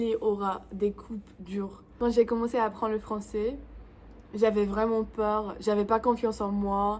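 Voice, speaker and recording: Her pitch is fairly high and she speaks at a fairly slow pace. This woman has a non-native accent. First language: English (speaking French). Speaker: YouTuber. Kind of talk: vlog tutorial. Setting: home, in front of camera. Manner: halting.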